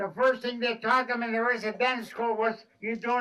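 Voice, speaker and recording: A man speaks in a raised, projected voice at an extremely high pitch. His tone is bright and sharp, and his pace is moderate. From Canada, Métis. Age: 80s+. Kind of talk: ceremonial talk to schoolchildren.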